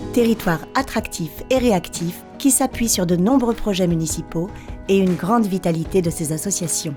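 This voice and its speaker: With music in the background, a woman speaks at a medium pitch and a moderate pace with lively intonation. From France. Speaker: voice-over artist. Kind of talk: promotional town documentary narration. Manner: friendly.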